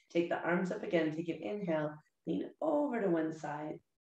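Against a quiet background with audible room echo, a woman speaks at a fairly low pitch. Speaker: yoga instructor. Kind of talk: guided chair yoga class with breathing cues. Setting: video lesson to camera. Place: home room. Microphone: webcam.

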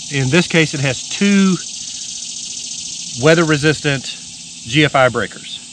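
A man talks amid noticeable background noise, the sound dry with no echo. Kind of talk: tutorial. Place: open country.

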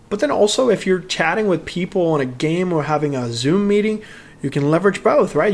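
A man's moderately paced speech carries lively intonation. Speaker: tech reviewer. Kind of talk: product review talk. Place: home room. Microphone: studio mic.

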